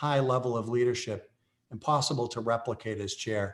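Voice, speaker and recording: Here is a man with an American accent and an unremarkable speaking voice, talking at a fairly quick pace with a medium pitch and ordinary pitch variation. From Massachusetts, Brockton. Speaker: chamber of commerce chair. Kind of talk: formal meeting remarks. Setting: video call.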